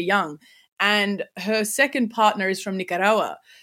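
This woman has a fairly high pitch and a bright, sharp tone, with an Australian accent. The recording is very clean, with a silent background. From Sydney, Australia. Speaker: content creator and teacher. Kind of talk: casual interview.

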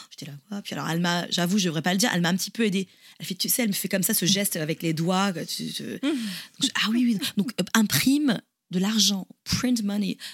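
At a fairly quick pace, a woman with a medium-pitched, somewhat breathy voice speaks with ordinary pitch variation. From France, Toulouse. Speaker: podcast co-host. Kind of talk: casual chat. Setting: remote call.

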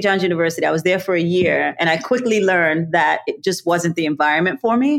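A woman with a New York accent, medium pitch, lively intonation and a fairly quick pace. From New York City, Brooklyn. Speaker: college alumna, nonprofit professional. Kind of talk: interview.

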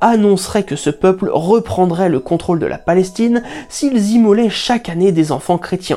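A woman speaks at a medium pitch and a fairly slow pace, with ordinary pitch variation. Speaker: narrator of a curiosities channel. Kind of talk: scripted narration.

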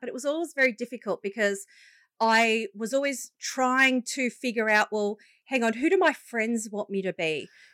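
A moderate pace in an Australian accent, with a dry, close sound with no echo and a very clean recording against a silent background. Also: woman. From Australia, Illawarra (Wollongong area). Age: 30s. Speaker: leadership coach and business founder. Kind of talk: interview, personal story.

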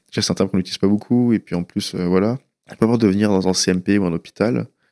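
On a very clean recording with a silent background, a man speaks at a moderate pace in a dark, mellow tone. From France, western Paris suburbs. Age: 20s. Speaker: anonymous young patient sharing his story. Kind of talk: personal testimony. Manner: hesitant, with many fillers.

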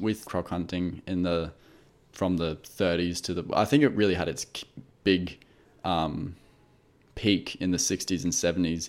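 On a very clean recording with a silent background, a man speaks fairly slowly in a very deep, low voice. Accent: Australian. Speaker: podcast co-host, film reviewer. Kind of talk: casual chat.

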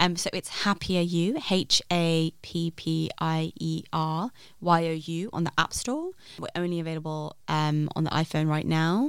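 Speaking at a fairly slow pace, a woman uses fairly even intonation and a fairly low pitch. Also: very clean recording, silent background. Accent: London. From London. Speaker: app founder. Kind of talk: casual chat.

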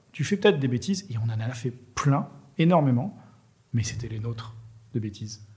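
The man's delivery is somewhat breathy and carries lively intonation. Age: 50s. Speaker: entrepreneur. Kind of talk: casual interview chat. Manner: halting, many repetitions.

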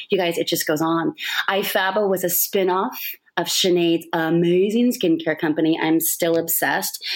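A woman speaks with a fairly low pitch. Her loudness stays very even. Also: moderate pace. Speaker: podcast host and TV host. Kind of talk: casual interview conversation. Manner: animated.

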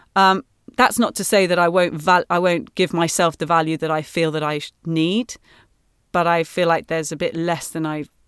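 Speaking at a moderate pace with fairly even intonation, a woman's fairly low voice comes through a dry, close sound with no echo in a very clean recording with a silent background. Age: 30s. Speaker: musical theatre actress. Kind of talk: casual interview. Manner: hesitant, many fillers.

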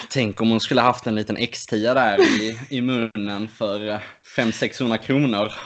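Fairly slow, monotone and flat delivery from a man at medium pitch. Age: 20s. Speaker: podcast co-host, archer. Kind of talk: casual chat.

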